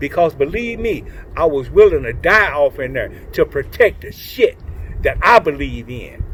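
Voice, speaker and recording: An animated man with an American accent, moderate pace, big swings in loudness, and noticeable background noise. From Oklahoma City, US. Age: 60s. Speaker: community activist, former prisoner. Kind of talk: street interview monologue.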